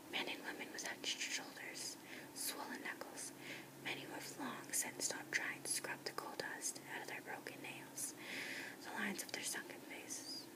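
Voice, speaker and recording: A woman whispering amid noticeable background noise. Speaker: ASMR whisper reader. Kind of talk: whispered audiobook-style reading of a novel. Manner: whispered, soft.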